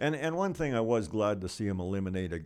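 A man with a Canadian Prairie accent talks at a very fast pace. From Lloydminster area, western Canada. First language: Ukrainian. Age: 70s. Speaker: local businessman. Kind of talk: interview, life story.

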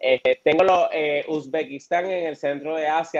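A man with a Puerto Rican accent, the sound dry and close with no echo. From Puerto Rico, Florida municipality. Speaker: travel blogger. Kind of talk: interview.

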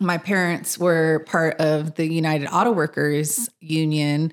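A woman talks at a very slow pace with a very deep, low pitch and fairly even intonation, in a Californian accent. The recording is very clean, with a silent background. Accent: Californian American English. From Los Angeles (mid-city). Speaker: podcast co-host and community organizer. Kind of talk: casual chat.

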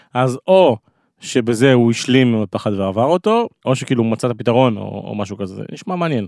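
Here a man has an ordinary speaking voice at a medium pitch, with lively intonation and a fairly quick pace. The sound is dry and close with no echo, in a very clean recording with a silent background. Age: 30s. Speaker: podcast host. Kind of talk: casual chat.

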